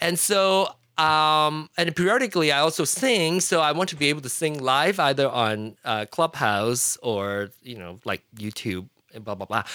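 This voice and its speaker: A man's fairly high, bright, sharp voice with a Fujianese accent, very wide pitch swings and big swings in loudness at a moderate pace, in a very clean recording with a silent background. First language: Hokkien. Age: 40s. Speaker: podcaster and tech enthusiast. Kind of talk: casual chat.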